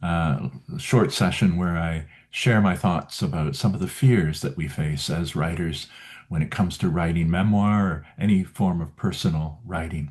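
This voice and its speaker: This man's voice sits at a very deep, low pitch with ordinary pitch variation. He speaks at a moderate pace. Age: 70s. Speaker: memoir writing coach. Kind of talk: video talk series. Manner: halting, with fillers.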